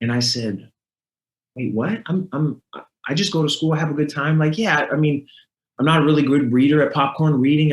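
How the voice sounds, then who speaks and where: Here a man speaks at a fairly quick pace and a fairly high pitch. His voice is somewhat breathy. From Northern California. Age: 30s. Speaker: motivational speaker, former NFL player. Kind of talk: podcast interview. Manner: animated storytelling.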